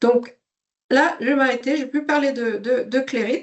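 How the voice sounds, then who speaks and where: A woman with a slight Swedish accent talks fairly slowly at a high pitch. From Sweden. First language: Swedish (speaking French). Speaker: software company CEO. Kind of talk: webinar presentation. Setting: online webinar. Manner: hesitant, many fillers.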